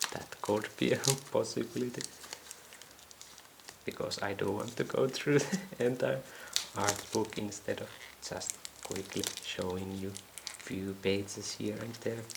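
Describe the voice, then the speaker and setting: Soft-spoken and very deep in pitch, a woman talks at a fairly slow pace with long, frequent pauses and ordinary pitch variation over noticeable background noise. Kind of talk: unboxing video.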